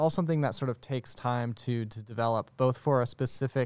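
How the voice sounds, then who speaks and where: A very clean recording with a silent background, a man with an ordinary speaking voice at medium pitch and a fairly quick pace. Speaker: student producer. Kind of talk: casual chat.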